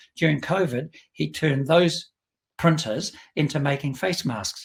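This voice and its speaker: With a New Zealand accent, a man speaks at a fairly slow pace and a fairly high pitch. There is vocal fry and ordinary pitch variation. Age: 70s. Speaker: business executive. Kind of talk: interview.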